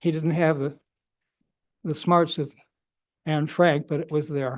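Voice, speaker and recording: Against a quiet background, a man speaks fairly slowly with fairly even intonation. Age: 90s. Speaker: public commenter. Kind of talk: public comment at city meeting. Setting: city commission meeting. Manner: halting.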